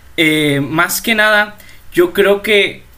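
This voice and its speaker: Noticeable background noise runs throughout. The man's pitch variation is ordinary. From Mexico, La Paz, Baja California Sur. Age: young. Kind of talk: casual religious chat.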